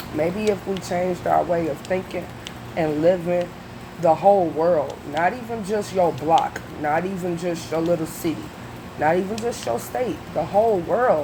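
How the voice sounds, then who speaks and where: A woman speaks at a fairly low pitch in an animated tone with ordinary pitch variation. Noticeable background noise and audible room echo fill the recording. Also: moderate pace. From US Midwest, Detroit, Michigan. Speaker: reaction video youtuber. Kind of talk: casual commentary monologue.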